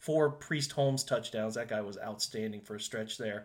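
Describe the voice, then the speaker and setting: A man with a plain, everyday voice talks at a moderate pace, his pitch varying in an ordinary way. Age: 30s. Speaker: sports podcast host. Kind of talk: casual chat.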